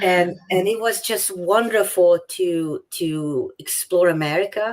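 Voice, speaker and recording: A woman's medium-pitched voice with a Hungarian accent, ordinary pitch variation, and a very slow pace. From Hungary. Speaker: author. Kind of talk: interview.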